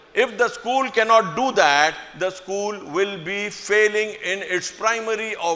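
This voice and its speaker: With noticeable background noise behind him, a man uses a raised, projected voice at a high pitch with ordinary pitch variation. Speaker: school administrator addressing staff. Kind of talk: speech to staff. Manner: slow, deliberate.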